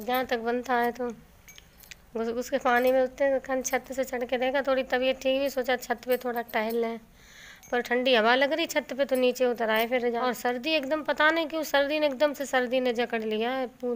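With a high pitch and monotone, flat intonation, a woman speaks at a moderate pace. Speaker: home vlogger. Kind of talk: casual vlog chat. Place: home room. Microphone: phone near.

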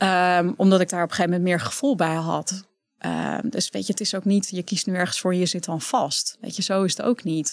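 A woman talks at a fairly quick pace with ordinary pitch variation. The sound is dry with no echo, over a quiet background. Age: 30s. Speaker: entrepreneur, author and speaker; speaker. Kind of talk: casual interview. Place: studio. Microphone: studio mic.

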